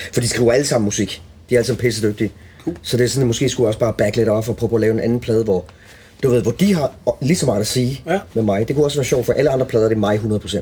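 Somewhat breathy and dark, mellow in tone, a man of medium pitch talks at a very fast pace with ordinary pitch variation and very even loudness. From Denmark, Als (southern Jutland). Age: 40s. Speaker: guitarist. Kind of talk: casual chat. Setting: backstage room at a music venue.

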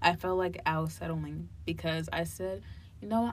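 In a room with audible echo, a woman speaks at a moderate pace with an American accent. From New Jersey (Hillside, near Newark). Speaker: college student. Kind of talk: casual chat.

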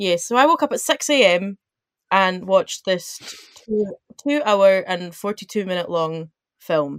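Talking at a fairly slow pace, this unremarkable speaking voice has lively intonation and big swings in loudness. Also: woman, medium pitch for a woman. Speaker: university student. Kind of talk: casual chat. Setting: video call.

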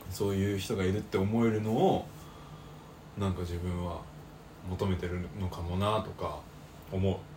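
The speaker talks in a flat monotone at a moderate pace, leaving long, frequent pauses, with audible room echo. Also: man, very deep, low pitch for a man. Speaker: podcast co-host, university student. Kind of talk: casual chat.

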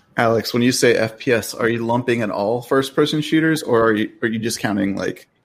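Using a normal speaking voice, a man talks at a fairly quick pace with a medium pitch and fairly even intonation. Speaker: gaming YouTuber. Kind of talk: casual chat.

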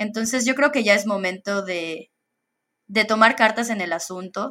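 Her tone is bright and sharp, and her pitch shifts in an ordinary way. The background is silent and the recording very clean. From Mexico, Campeche. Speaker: solar energy professional. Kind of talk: interview.

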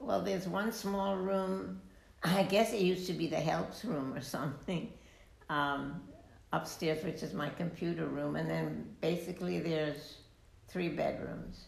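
With lively intonation and a fairly slow pace, a woman speaks in a very deep, low pitch through audible room echo and noticeable background noise. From Italy (Rome). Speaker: retired university staff. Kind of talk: interview conversation. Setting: her home.

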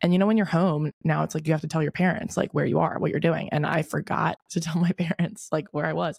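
A woman with an American accent talks at a very fast pace, barely pausing, in a very deep, low voice with vocal fry. Her intonation stays fairly even and her loudness very even, with a dry, close sound and no echo. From Delaware, US. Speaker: podcast host. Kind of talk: casual chat, solo podcast. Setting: hotel room recording. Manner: uses filler words, slight stutter.

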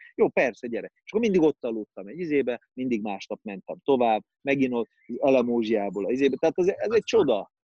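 Talking at a very fast pace, a man shows lively intonation and big swings in loudness in a dry, close recording with no echo. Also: medium pitch for a man. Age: 40s. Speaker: actor. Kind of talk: casual chat.

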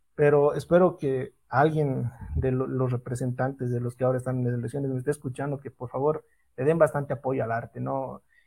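A man's somewhat breathy, dark, mellow voice at a medium pitch, with fairly even intonation and a fairly quick pace. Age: 30s. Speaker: photographer, event organizer. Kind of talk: interview.

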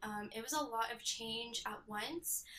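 In a Californian accent, the speaker has a bright, sharp tone, ordinary pitch variation and a fairly slow pace. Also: woman. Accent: Californian American English. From Southern California, Temecula. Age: 20s. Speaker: compliance specialist. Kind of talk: interview.

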